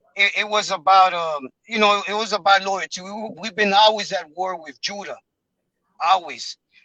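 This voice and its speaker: A man's raised, projected voice has a bright, sharp tone and a high pitch, with big swings in loudness. He keeps a moderate pace and fairly even intonation. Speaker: member of religious group. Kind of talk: testimony. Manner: halting.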